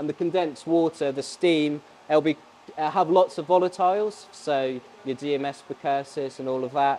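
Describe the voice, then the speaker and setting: A man talks at a moderate pace, his intonation fairly even, with light noise in the background. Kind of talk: interview answer. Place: factory.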